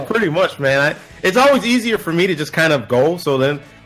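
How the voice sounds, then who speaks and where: Music in the background behind a man speaking at a fairly quick pace with lively intonation. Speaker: voice actor. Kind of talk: casual podcast interview answer.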